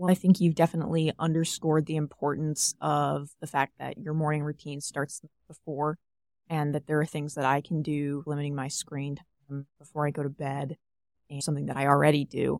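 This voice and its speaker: A woman with an American accent speaks in a very deep, low, monotone voice at a fairly quick pace with big swings in loudness, recorded very cleanly with a silent background and a dry, close sound with no echo. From South Carolina. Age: 20s. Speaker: college student. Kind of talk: casual interview.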